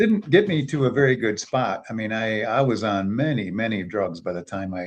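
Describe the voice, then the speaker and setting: Moderate pace and ordinary pitch variation in a man's fairly low-pitched voice, an ordinary speaking voice. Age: 60s. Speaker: health testimonial panelist. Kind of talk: personal testimony.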